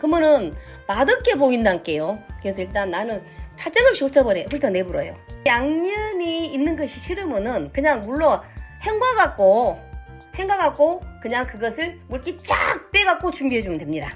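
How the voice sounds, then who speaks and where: Music plays in the background as the speaker, in a Jeolla accent, makes very wide pitch swings. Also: woman, high pitch for a woman, moderate pace. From Jeolla, South Korea. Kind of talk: cooking tutorial narration. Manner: casual, chatty.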